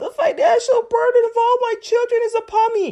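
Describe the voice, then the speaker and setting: A put-on character voice at an extremely high pitch moves at a moderate pace with fairly even intonation. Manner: mock crying.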